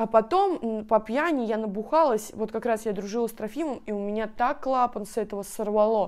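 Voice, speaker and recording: A woman's fairly high voice at a moderate pace with ordinary pitch variation, against a quiet background. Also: hardly any pauses. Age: 20s. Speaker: video blogger. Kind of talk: casual Q&A vlog. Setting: at home on her bed. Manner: animated. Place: home room. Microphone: lapel.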